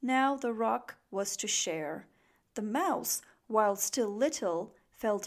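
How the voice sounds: The clip features a natural reading voice.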